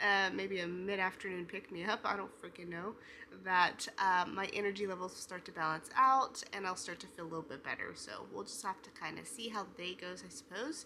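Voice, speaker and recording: A soft-spoken woman with a bright, sharp tone, medium pitch, ordinary pitch variation, vocal fry and a fairly quick pace. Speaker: writing vlogger. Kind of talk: casual vlog. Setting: at home.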